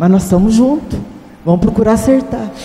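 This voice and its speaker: There is noticeable background noise and audible room echo as a woman talks at a fairly high pitch with ordinary pitch variation. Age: 70s. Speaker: Bible class participant. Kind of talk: Bible study class discussion.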